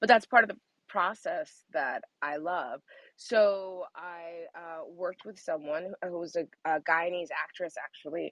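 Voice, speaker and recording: An ordinary speaking voice from a woman, fairly low in pitch and fairly slow, with ordinary pitch variation, big swings in loudness, and a dry, close sound with no echo. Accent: American. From New York, Jamaican parents. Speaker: audiobook narrator and actor. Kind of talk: interview.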